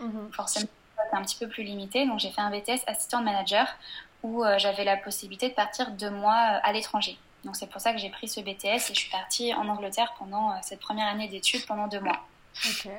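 Fairly quick, monotone speech from a woman at medium pitch, with noticeable background noise. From western France, Angers. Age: 20s. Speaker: blogger. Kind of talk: casual interview. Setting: video call.

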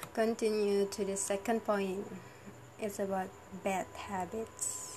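Over noticeable background noise, a woman speaks at a medium pitch and a very slow pace with monotone, flat intonation. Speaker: university student. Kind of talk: monologue vlog. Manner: halting; laughs often.

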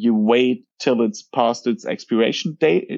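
With a German accent, a man speaks at a fairly slow pace in a medium pitch, with ordinary pitch variation. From Germany. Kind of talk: casual interview chat.

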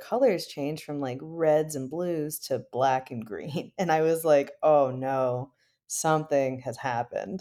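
A woman with an American accent speaks in a very deep, low pitch, her dark, mellow tone showing ordinary pitch variation. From US Midwest. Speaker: software engineer and violinist. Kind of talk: casual interview. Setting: home office, remote recording.

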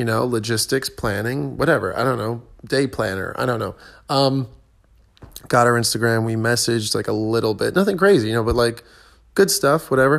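Here is a plain, everyday voice from a man of medium pitch. He talks at a fairly quick pace with lively intonation. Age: 20s. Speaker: podcast host, tennis coach and stand-up comedian. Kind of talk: casual solo monologue. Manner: casual, filler-heavy with frequent ums.

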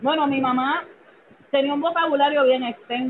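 Talking at a very fast pace, a woman speaks with a high pitch. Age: 40s. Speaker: social worker. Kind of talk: interview.

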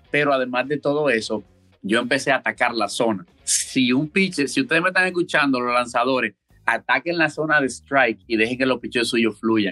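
Speaking at a fairly quick pace with a Dominican accent, a man with a medium pitch and a bright, sharp tone shows ordinary pitch variation in a dry, close sound with no echo. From Dominican Republic, Santo Domingo. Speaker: college baseball player. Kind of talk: interview.

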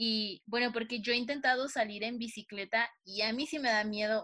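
A woman with a Mexican accent speaks at a fairly slow pace in a fairly high pitch, her tone bright and sharp. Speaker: podcast co-host. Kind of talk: casual chat.

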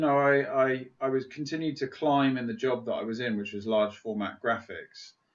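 A man with an unremarkable speaking voice talks at a moderate pace, medium pitch and ordinary pitch variation. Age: 40s. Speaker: psychotherapist and men's coach. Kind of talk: podcast interview.

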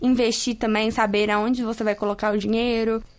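This woman has a normal speaking voice with a fairly high pitch. She talks at a moderate pace with fairly even intonation. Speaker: university student. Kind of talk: vox pop interview.

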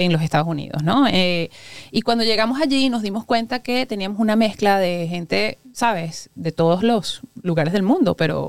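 A woman talks at a fairly quick pace in a normal speaking voice, with ordinary pitch variation. The sound is dry and close, with no echo. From Venezuela. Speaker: restaurant owner and chemical engineer. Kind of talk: interview.

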